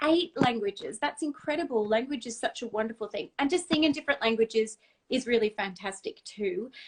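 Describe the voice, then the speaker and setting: Talking at a fairly quick pace, a woman with an Australian accent uses a fairly high pitch and lively intonation. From Australia, Brisbane. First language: Dutch. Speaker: singer. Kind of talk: casual chat. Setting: video call.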